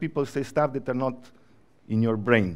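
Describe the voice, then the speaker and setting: A man with a Slovenian accent and ordinary pitch variation, against a quiet background. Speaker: creative agency professional. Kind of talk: conference talk.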